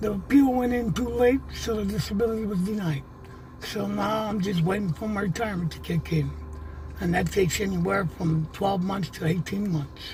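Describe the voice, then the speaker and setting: Moderate-paced speech over music in the background. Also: man. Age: 60s. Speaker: homeless veteran. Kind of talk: interview testimony.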